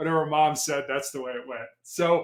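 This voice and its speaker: A man with an American accent, fairly high in pitch, at a fairly quick pace with ordinary pitch variation. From Chicago and Columbus, Ohio. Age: 60s. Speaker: former police hostage negotiator, motivational speaker. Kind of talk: podcast interview. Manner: halting, repeats words.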